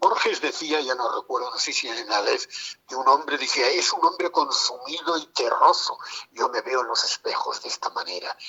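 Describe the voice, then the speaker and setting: A man talks at a moderate speed. Noticeable noise fills the background. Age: 70s. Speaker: poet and writer. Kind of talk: interview conversation.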